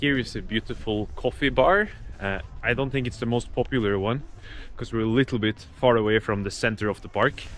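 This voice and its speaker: The speaker talks at a fairly quick pace. A Norwegian accent comes through. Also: man, medium pitch for a man, ordinary pitch variation. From Norway. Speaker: travel vlogger. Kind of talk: casual vlog narration.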